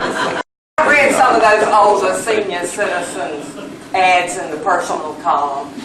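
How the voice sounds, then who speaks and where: Speaking at a fairly slow pace, a woman with a Southern US accent uses a medium pitch and lively intonation. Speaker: comedian. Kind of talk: stand-up comedy routine.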